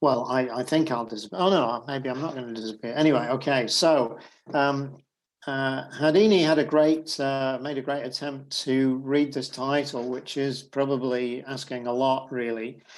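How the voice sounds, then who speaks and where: A man with a British accent talks at a moderate pace in a medium pitch. His intonation stays fairly even, and room echo is audible. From Britain. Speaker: accounting professor. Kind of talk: lecture. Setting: video call. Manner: halting.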